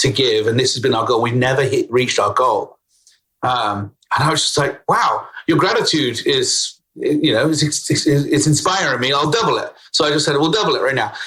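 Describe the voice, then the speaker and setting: This man has a British accent. He talks at a moderate pace. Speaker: CEO and talent consultant. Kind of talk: podcast interview answer.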